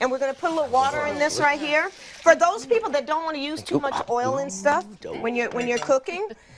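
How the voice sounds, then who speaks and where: A woman's high-pitched, lively voice at a fairly quick pace, over noticeable background noise. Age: 60s. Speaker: holistic health host. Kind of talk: cooking demonstration. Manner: casual, chatty.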